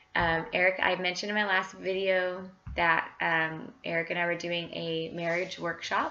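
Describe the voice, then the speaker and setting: A woman speaks at a very slow pace in a medium pitch with a bright, sharp tone. The room echo is audible. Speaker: cross-stitch vlogger. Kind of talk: casual chat. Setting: home. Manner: hesitant, many fillers.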